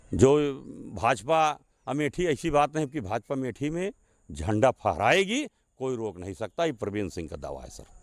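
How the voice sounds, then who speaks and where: A man talks at a medium pitch with very wide pitch swings and big swings in loudness. The sound is dry and close, with no echo. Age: 60s. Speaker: local politician. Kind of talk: interview.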